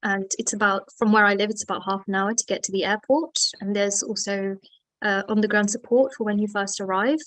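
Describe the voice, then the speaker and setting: With a British accent, a woman of medium pitch talks at a fairly quick pace with fairly even intonation. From UK. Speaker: medical student. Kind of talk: webinar interview.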